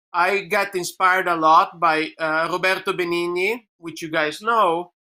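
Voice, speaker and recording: The speaker has an Italian accent and a bright, sharp tone. The pace is fairly slow and the intonation monotone and flat. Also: man, high pitch for a man. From Italy. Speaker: filmmaker. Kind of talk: panel discussion. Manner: halting.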